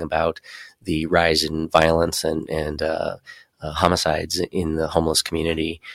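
A man with an American accent speaks fairly quickly in a very deep, low voice, his intonation monotone and flat. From Colorado Springs, Colorado. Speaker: city council candidate. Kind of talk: interview. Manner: halting, many fillers.

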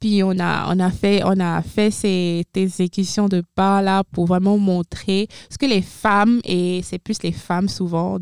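At a very slow pace, a woman speaks at medium pitch with monotone, flat intonation. The recording is very clean with a silent background, and the sound is dry and close with no echo. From Benin. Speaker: former international student, university staff. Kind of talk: interview. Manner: halting.

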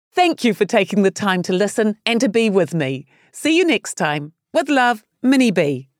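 On a very clean recording with a silent background and a dry, close sound with no echo, a woman with a New Zealand accent talks at a moderate pace with very wide pitch swings. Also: medium pitch for a woman. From New Zealand, Palmerston North. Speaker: author and social entrepreneur. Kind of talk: scripted narration.

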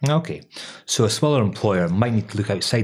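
Captured in a very clean recording with a silent background, a man talks at a very fast pace. His somewhat breathy voice sits fairly low, with ordinary pitch variation. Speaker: employment lawyer and podcast host. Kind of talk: casual professional chat with banter. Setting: studio.

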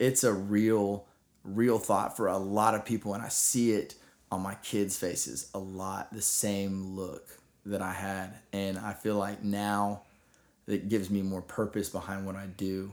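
In a Texan accent, a man speaks fairly slowly at a fairly low pitch with monotone, flat intonation. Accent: Texan American. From Texas. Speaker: middle school teacher. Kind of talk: interview.

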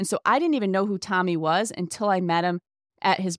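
Recorded very cleanly against a silent background, a woman with an unremarkable speaking voice talks at a fairly quick pace in a medium pitch with ordinary pitch variation, the sound dry and close with no echo. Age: 40s. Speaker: podcaster. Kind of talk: casual interview.

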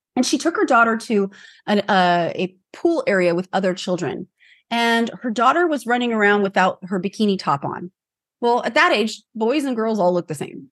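Using a normal speaking voice, a woman with a fairly high pitch talks at a moderate pace with lively intonation. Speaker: personal branding expert. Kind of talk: interview chat.

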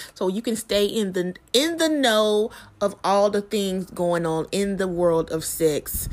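Here is a woman with a normal speaking voice. Her medium pitch rises and falls in an ordinary way. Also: very clean recording, silent background. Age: 30s. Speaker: podcast host. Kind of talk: promotional announcement.

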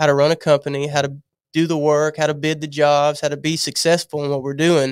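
A man's fairly high voice at a moderate pace, monotone and flat, in a dry, close sound with no echo. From Louisiana. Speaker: contractor. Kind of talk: casual chat.

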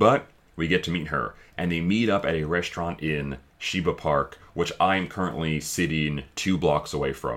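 A man with a very deep, low voice and vocal fry speaks at a moderate pace with ordinary pitch variation. The recording is very clean, the background silent. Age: 30s. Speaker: podcast co-host. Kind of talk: casual chat. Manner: animated.

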